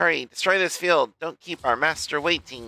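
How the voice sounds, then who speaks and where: A man in a put-on character voice talks at a moderate pace and a fairly high pitch, the sound dry and close with no echo in a very clean recording with a silent background. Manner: commanding, urgent.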